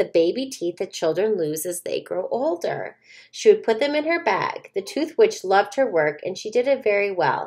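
A natural reading voice carries the whole clip.

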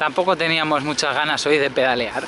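The sound is dry and has no echo. Under the man's voice sits noticeable background noise. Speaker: touring cyclist vlogger. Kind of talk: casual vlog chat. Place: street. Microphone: phone near.

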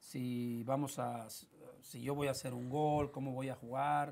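A man with a Mexican accent speaks at a fairly slow pace. His medium-pitched voice has monotone, flat intonation. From Mexico, Tepic, Nayarit. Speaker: former footballer. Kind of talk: interview. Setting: studio. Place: studio. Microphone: lapel.

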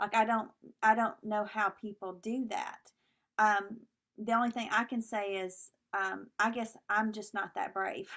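Speaking at a fairly slow pace, a woman with a bright, sharp tone holds a fairly high pitch in a monotone, flat intonation. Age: 40s. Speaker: minister. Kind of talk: sermon.

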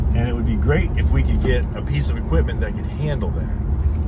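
Loud background noise surrounds a man's voice. The sound itself is dry, with no echo. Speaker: house-build vlogger. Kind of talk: casual vlog chat. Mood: relaxed, joking. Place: car. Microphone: phone near.

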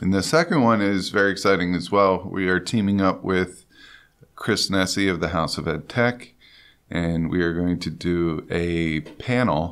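Very deep and low, the man's voice carries through. He keeps a fairly slow rate. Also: very clean recording, silent background. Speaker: podcast host and teacher. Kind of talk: casual podcast conversation.

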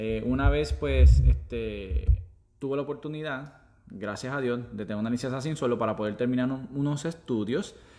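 A man's dark, mellow voice at a moderate pace, with lively intonation. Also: medium pitch for a man. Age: 30s. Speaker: former police officer turned online entrepreneur. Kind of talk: casual chat on live stream. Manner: halting.

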